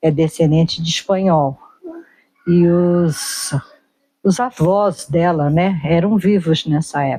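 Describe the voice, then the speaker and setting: Speaking at a very slow pace with long, frequent pauses, a woman keeps a fairly low pitch and very even loudness. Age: 60s. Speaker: interviewee sharing life memories. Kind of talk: casual conversational interview.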